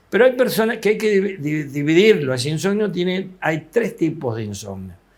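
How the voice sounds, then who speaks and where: Intonation is lively and the pace stays moderate. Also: man. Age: 70s. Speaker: psychiatrist. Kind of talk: TV interview.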